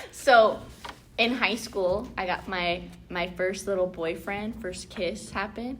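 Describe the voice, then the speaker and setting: Audible room echo around a woman's medium-pitched, fairly slow delivery. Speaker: round table discussion host. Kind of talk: casual chat. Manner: loud; animated.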